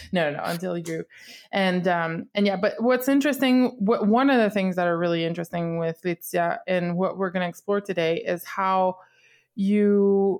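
In a Quebec accent, a woman talks at a moderate pace and medium pitch with ordinary pitch variation, in a very clean recording with a silent background. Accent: Québécois French accent in English. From Quebec, Canada. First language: French. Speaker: podcast host, color guard instructor. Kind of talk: casual interview.

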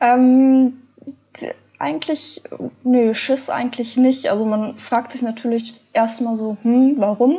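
At a very slow pace, a woman with a high pitch talks in fairly even intonation, leaving long, frequent pauses. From Ruhr area, Germany. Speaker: adventure blogger. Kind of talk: interview.

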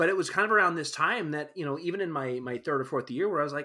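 A man with a Canadian accent, fairly high-pitched with a bright, sharp tone and ordinary pitch variation, on a very clean recording with a silent background. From Alberta, Canada. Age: 30s. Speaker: scenic painter and set designer. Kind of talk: casual chat.

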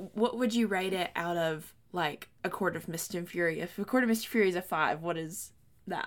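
This woman has an ordinary speaking voice, medium in pitch, and she moves at a moderate pace with ordinary pitch variation. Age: 20s. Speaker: book podcast co-host. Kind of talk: casual chat.

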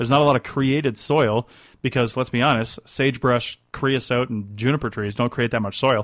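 A man with an ordinary speaking voice talks at a fairly quick pace, his medium pitch held in fairly even intonation. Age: 40s. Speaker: radio host and contract archaeologist. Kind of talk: call-in radio show. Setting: radio studio.

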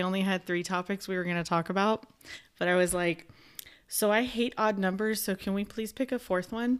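A woman at a medium pitch speaks in a plain, everyday voice. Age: 30s. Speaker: podcast host. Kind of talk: casual chat. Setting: recording at cousin's house.

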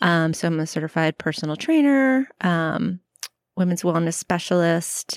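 A woman's normal speaking voice, fairly low in pitch, with an American accent and a moderate pace, on a very clean recording with a silent background. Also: dry, close sound with no echo. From Florida, US South. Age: 40s. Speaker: teacher and personal trainer. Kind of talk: casual chat. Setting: outdoors on a porch.

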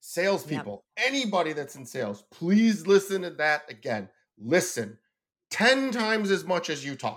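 A loud man with an animated tone, high pitch and very wide pitch swings at a moderate pace, in a very clean recording with a silent background. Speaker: business owner and author. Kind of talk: casual chat.

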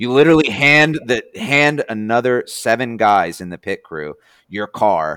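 Lively, bright, sharp-toned speech from a man with an American accent, at a moderate pace, in a dry, close sound with no echo. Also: very clean recording, silent background. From New Jersey. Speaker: former race car driver. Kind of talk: casual chat.

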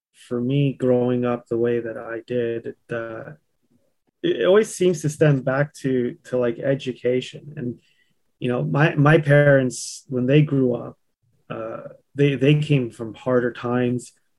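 A medium-pitched man at a fairly slow pace. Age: 40s. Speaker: landscaping business owner. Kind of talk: casual chat. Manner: animated.

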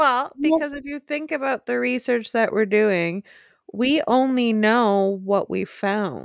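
With a Wisconsin accent, a woman speaks very slowly. Her fairly high voice carries lively intonation. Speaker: podcast co-host.

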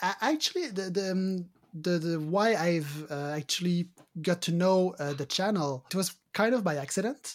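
In a French Canadian accent, a man talks at a moderate pace in a high voice with ordinary pitch variation. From Quebec. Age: 40s. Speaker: card game judge. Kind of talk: interview. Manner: hesitant, many fillers.

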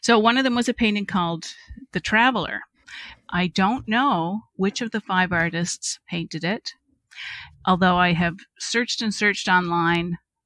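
A woman with a Cape Breton accent speaks in a bright, sharp tone on a very clean recording with a silent background. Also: dry, close sound with no echo. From Cape Breton, Nova Scotia. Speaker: speculative fiction writer. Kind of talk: casual chat.

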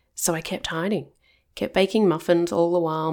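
A woman talks at a moderate pace in an Australian accent. The recording is very clean, with a silent background. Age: 40s. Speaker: counsellor and ADHD coach. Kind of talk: personal storytelling podcast monologue.

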